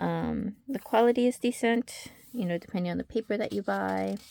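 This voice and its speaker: The woman's voice comes through dry and close with no echo as she speaks at a moderate pace. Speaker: craft and fan vlogger. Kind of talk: casual chat. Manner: hesitant, many fillers.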